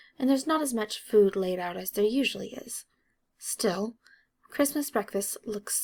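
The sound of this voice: Lively intonation marks an unforced reading voice set against a quiet background.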